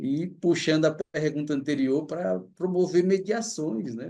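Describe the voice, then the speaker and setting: A man with a Cearense accent speaks at a fairly slow pace in a dark, mellow tone. His pitch varies in an ordinary way, over a quiet background. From Fortaleza, Ceará, Brazil. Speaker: anthropology professor. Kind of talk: lecture. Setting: livestream.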